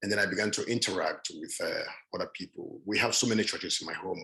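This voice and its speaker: The speaker talks at a very fast pace with a Nigerian accent. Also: man. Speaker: panelist. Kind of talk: panel talk. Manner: halting.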